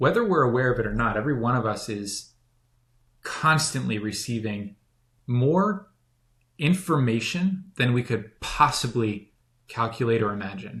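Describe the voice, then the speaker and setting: With long, frequent pauses, a man talks at a moderate pace in a medium pitch with lively intonation. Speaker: spiritual teacher. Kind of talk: casual chat.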